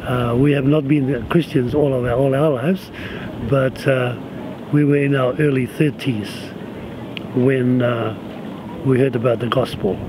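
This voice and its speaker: A man talks at a fairly slow pace with fairly even intonation. His speech has long, frequent pauses over noticeable background noise. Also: medium pitch for a man. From Cook Islands, Rarotonga. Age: 60s. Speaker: pastor and retired police chief. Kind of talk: personal life story. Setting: outdoors on a beach. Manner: halting with fillers.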